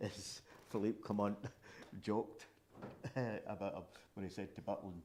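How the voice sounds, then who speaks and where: A man is speaking with a Scottish accent. His pitch sits fairly low. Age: 70s. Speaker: football fan pundit. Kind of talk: casual chat.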